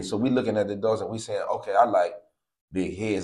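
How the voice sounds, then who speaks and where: An animated tone at a fairly quick pace against a quiet background. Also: man. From East Cleveland, Ohio; Ohio. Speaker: dog breeder and breed advocate; guest. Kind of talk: casual interview; interview answer. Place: home room. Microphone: lapel.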